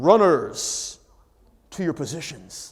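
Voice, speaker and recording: A man speaks in a put-on character voice. His pitch sits high for a man. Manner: commanding.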